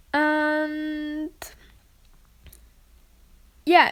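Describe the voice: A woman with a German accent speaks very slowly in a high, fairly bright voice with monotone, flat intonation.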